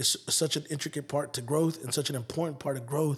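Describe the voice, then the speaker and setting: A man with an American accent talks at a moderate pace. His voice is somewhat breathy, with fairly even intonation. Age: 30s. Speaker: music promoter and hip hop artist. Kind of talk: casual interview chat.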